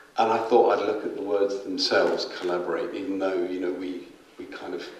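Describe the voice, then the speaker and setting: A man speaks at a moderate pace. The room echo is audible, with noticeable background noise. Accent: London. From London. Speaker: arts organisation chair. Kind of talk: presentation talk. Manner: halting, many repeated words.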